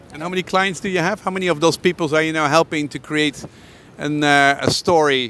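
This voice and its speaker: This man talks at a fairly quick pace with ordinary pitch variation. Noticeable background noise sits behind him. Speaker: interviewer. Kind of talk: interview questions. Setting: outdoors.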